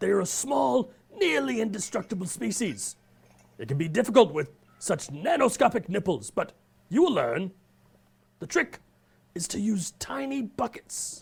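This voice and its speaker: Using a cartoonish character voice, a man speaks at a moderate pace and high pitch with very wide pitch swings and long, frequent pauses. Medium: puppet. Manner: formal, enthusiastic.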